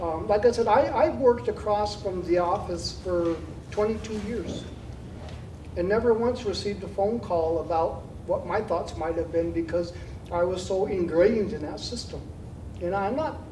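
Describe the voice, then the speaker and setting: The speaker has an American accent and a moderate pace. There is noticeable background noise. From Nebraska, Winnebago tribe. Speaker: Native community elder speaking at a forum. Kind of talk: panel Q&A answer. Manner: halting, with frequent fillers and repeats.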